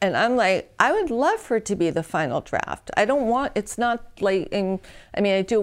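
A woman with an American accent and an ordinary speaking voice, ordinary pitch variation, on a very clean recording with a silent background. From New York. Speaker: entertainment consultant. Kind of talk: interview.

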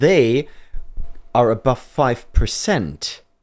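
A man with a German accent, very slow, swinging very widely in pitch. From Germany. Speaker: men's rights activist. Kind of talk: casual chat.

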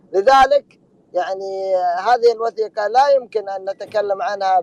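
At a fairly slow pace, a man with a high voice speaks with ordinary pitch variation in a dry, close sound with no echo. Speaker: history researcher. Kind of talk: panel discussion. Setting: online audio room. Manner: formal.

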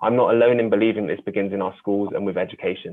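The speech races along at a very fast pace in a monotone, flat intonation. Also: man. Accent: London. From London. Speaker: youth mentor and poet. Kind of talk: reading aloud. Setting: video call.

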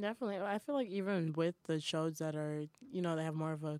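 On a very clean recording with a silent background and a dry, close sound with no echo, a woman with a normal speaking voice and an American accent speaks at a fairly low pitch and fairly quick pace with ordinary pitch variation. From Boston. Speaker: college radio podcast host. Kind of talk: casual chat. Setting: studio.

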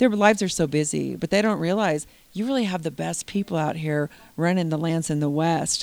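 A woman with an ordinary speaking voice talks at a fairly quick pace, her pitch fairly low with ordinary variation. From Oregon. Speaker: rancher. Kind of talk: interview.

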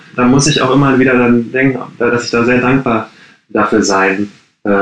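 A man speaks at a fairly slow pace with a medium pitch and fairly even intonation. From Ruhr area, Germany (Gladbeck). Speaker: coworking space founder. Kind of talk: interview. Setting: video call from his bedroom at home. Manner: halting, many fillers.

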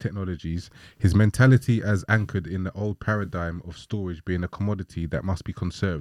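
A man with a plain, everyday voice, fairly low in pitch, at a fairly quick pace. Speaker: podcast host. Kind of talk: casual conversation.

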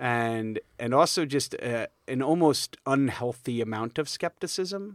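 A man with a New York accent talks at a fairly slow pace, his pitch medium and his intonation lively. The sound is dry and close, with no echo. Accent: New York area American. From New York state. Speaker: high school history teacher. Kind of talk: casual interview. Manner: energetic, animated.

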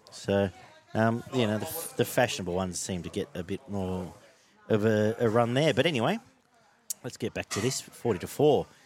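Using an Australian accent, a man with a fairly low pitch talks at a moderate pace, with ordinary pitch variation and long, frequent pauses. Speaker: rugby league podcast host. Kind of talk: casual chat.

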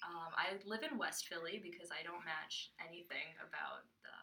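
There is audible room echo as a woman speaks at a fairly slow pace with ordinary pitch variation. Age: 20s. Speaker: podcast co-host, service year volunteer. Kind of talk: casual chat.

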